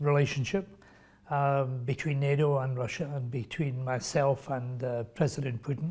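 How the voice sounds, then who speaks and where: A somewhat breathy man at a fairly slow pace. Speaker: interview guest. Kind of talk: interview answer. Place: meeting room. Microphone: lapel.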